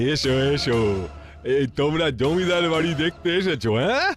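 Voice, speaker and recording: A cartoonish character voice from a man, fairly high in pitch, at a moderate pace, with clear background noise. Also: ordinary pitch variation. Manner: coaxing, sly, chuckling.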